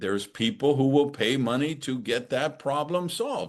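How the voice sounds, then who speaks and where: Over a quiet background, a man with an unremarkable speaking voice and fairly high pitch talks at a moderate pace. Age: 60s. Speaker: author and speaker. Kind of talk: podcast interview.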